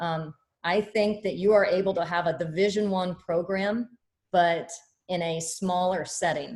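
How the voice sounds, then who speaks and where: Fairly even intonation marks this voice with a Midwestern American accent. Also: woman. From Kansas (Topeka). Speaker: college basketball head coach. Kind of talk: press conference. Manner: loud.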